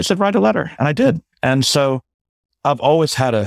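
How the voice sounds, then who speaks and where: A man talks at a moderate pace with very wide pitch swings. The recording is very clean, with a silent background and a dry, close sound with no echo. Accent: American. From Brooklyn, New York. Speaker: sustainability strategist and entrepreneur. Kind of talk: interview.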